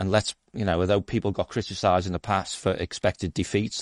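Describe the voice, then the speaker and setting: A man's fairly low pitch and fairly even intonation at a very fast pace, with a dry, close sound and no echo. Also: quiet background. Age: 60s. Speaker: fan podcast co-host. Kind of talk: casual chat. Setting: live stream.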